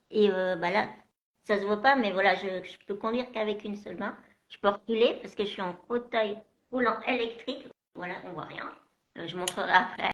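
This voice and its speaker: A woman at medium pitch with fairly even intonation and big swings in loudness, at a moderate pace with long, frequent pauses. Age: 40s. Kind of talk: live video interview. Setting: live stream video call. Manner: halting.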